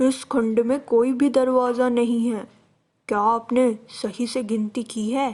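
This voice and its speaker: In a gruff, put-on character voice, the speaker keeps a moderate pace and a monotone, flat intonation. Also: woman, high pitch for a woman. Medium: read story. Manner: gruff, curt.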